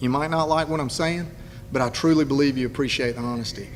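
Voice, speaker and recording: The speaker talks at a very fast pace in an eastern North Carolina accent, with fairly even intonation. Room echo is audible. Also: man. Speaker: political candidate. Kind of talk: campaign speech. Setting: public event with audience.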